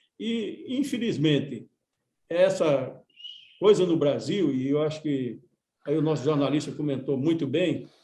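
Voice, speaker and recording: A man's fairly high, dark and mellow voice with ordinary pitch variation, a fairly slow pace and long, frequent pauses. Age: 70s. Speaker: union leader and former politician. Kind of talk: radio panel discussion. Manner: halting, many repetitions.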